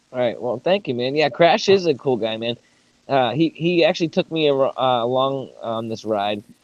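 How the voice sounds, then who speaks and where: A man speaks with an American accent at a moderate pace. His voice sits at a medium pitch with ordinary pitch variation. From New England, Boston. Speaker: podcast co-host. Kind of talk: casual chat.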